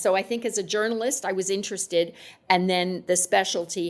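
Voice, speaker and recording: A woman at a medium pitch and fairly quick pace, with ordinary pitch variation, on a very clean recording with a silent background. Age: 60s. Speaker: journalist and nonprofit chair. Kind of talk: podcast interview. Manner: hesitant, many fillers.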